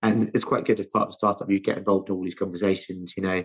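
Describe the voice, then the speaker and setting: A man with a London accent, fairly low pitch, very fast pace and a monotone, flat intonation. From South London, England. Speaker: chief scientific officer, chemist. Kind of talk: interview. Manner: halting, many false starts.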